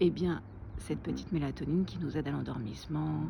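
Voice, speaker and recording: A soft-spoken woman. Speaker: naturopath and wellness vlogger. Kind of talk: casual vlog tutorial. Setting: outdoors.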